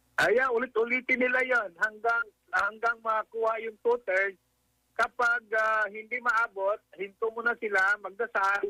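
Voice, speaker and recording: In a raised, projected voice with a bright, sharp tone, a man speaks at a high pitch and fairly slow pace with fairly even intonation, in a dry, close sound with no echo. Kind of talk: radio phone interview. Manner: halting, many hesitations.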